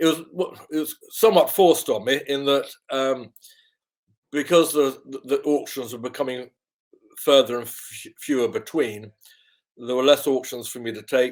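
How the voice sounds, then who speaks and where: Pausing long and often, a man speaks at a fairly high pitch with big swings in loudness. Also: ordinary pitch variation, moderate pace. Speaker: auctioneer. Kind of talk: interview answer.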